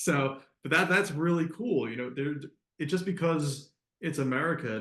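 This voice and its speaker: The speaker has a Philadelphia accent and ordinary pitch variation. The pace is moderate, and room echo is audible. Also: man. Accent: Philadelphia-area. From Delaware County, southeast Pennsylvania. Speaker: podcast host. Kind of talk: interview. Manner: casual, repetitive fillers.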